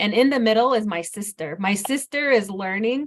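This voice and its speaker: Over noticeable background noise, a woman speaks with an American accent and ordinary pitch variation. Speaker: hydrologist. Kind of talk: webinar presentation.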